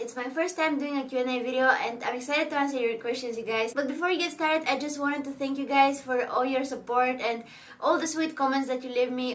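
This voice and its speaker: With a Bulgarian accent, a woman speaks at a fairly quick pace in a high pitch with fairly even intonation, amid audible room echo and noticeable background noise. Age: 20s. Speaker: beauty vlogger. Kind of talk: casual Q&A vlog.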